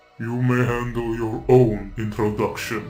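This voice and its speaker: Over faint music in the background, a man uses a put-on character voice with monotone, flat intonation at a fairly slow pace. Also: medium pitch for a man. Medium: audio drama. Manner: calm, authoritative, formal.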